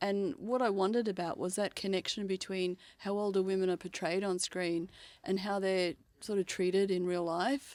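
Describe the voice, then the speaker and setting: A woman with an Australian accent, very even loudness and fairly even intonation, on a very clean recording with a silent background. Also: medium pitch for a woman, moderate pace. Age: 60s. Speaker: screenwriter and PhD researcher. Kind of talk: interview. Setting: mobile podcast studio. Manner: hesitant, many fillers.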